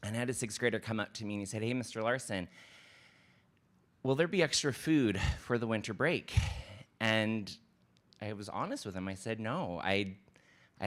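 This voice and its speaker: A man speaks at a moderate pace with ordinary pitch variation, leaving long, frequent pauses. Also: very clean recording, silent background. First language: not English. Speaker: elementary school principal. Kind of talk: public presentation at board meeting. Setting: school board meeting.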